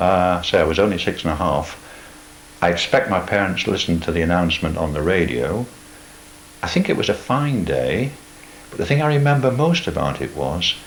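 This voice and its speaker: Noticeable background noise sits behind a man with a very deep, low pitch. He talks at a moderate pace with very wide pitch swings. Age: 80s+. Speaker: oral history interviewee. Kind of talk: oral history interview.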